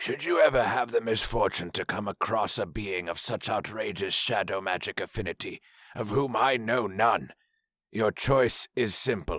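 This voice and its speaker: A man's raspy, put-on character voice, dry and close with no echo, on a very clean recording with a silent background. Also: medium pitch for a man, moderate pace, ordinary pitch variation. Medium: read story. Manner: formal, commanding.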